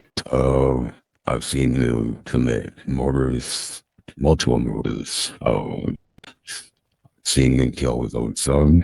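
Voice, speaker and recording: A put-on character voice moves at a very slow pace with long, frequent pauses. The intonation stays monotone and flat. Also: man, very deep, low pitch for a man. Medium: game stream.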